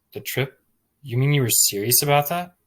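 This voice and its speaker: A man puts on a gruff, growling character voice with a fairly high pitch. He talks at a fairly quick pace with ordinary pitch variation. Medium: read story.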